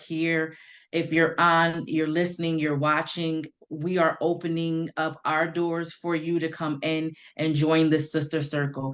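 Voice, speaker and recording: A woman speaks at a very deep, low pitch with monotone, flat intonation. Her pace is fairly slow against a quiet background. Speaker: patient advocate. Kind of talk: testimony. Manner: loud.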